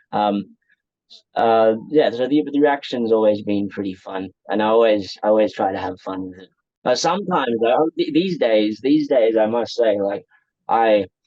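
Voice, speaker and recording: A man with an Australian accent speaks at a moderate pace in a medium pitch with ordinary pitch variation. His loudness swings widely. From Australia, raised in rural northeast Thailand from age 8. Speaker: interviewee sharing life story. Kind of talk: casual interview. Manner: hesitant, many fillers.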